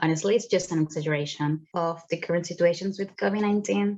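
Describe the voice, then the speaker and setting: Speaking at a fairly quick pace, a woman with a Spanish accent has a fairly low pitch and a dark, mellow tone. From Venezuela. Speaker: student photographer. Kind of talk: narrated exhibition talk. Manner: casual, conversational.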